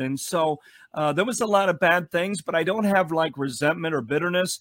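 A high-pitched man with a Chicago accent on a very clean recording with a silent background. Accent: Chicago American. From Chicago, US Midwest. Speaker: pastor. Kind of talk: interview.

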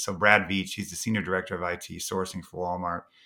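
A man's bright, sharp voice on a very clean recording with a silent background. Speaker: chief people officer. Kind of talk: casual chat.

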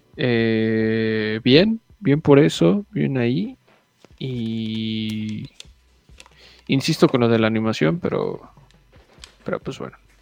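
Over background music, a man at medium pitch speaks at a very slow pace with long, frequent pauses, lively intonation and big swings in loudness. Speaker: podcast co-host. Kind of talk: casual chat.

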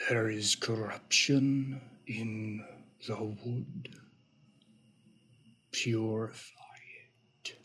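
Soft-spoken and very slow, this put-on character voice is broken by long, frequent pauses. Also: man, medium pitch for a man. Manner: comforting.

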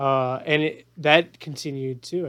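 A man with a fairly high pitch uses a plain, everyday voice and fairly even intonation. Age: 30s. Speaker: podcast host. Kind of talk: interview.

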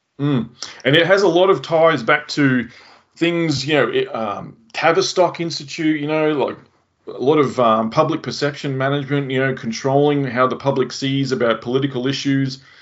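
A man with an Australian accent is talking. His pitch is fairly high, with ordinary pitch variation. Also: moderate pace. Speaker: podcast host. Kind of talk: casual interview chat.

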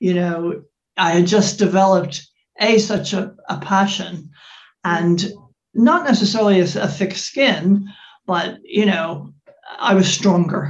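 Somewhat breathy and at a medium pitch with ordinary variation, a woman speaks at a fairly slow pace with long, frequent pauses. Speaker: fashion brand founder and life coach. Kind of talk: interview conversation. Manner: hesitant, many fillers.

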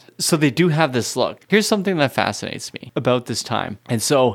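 Here a man speaks with a fairly high pitch. His voice swings very widely up and down. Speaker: music podcast co-host. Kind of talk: casual chat.

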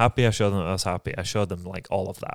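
Here a man speaks with an American accent in a very deep, low voice. His intonation is monotone and flat. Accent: English (Yorkshire) fading toward American. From Yorkshire, England. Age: 30s. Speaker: podcast co-host. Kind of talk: casual storytelling chat.

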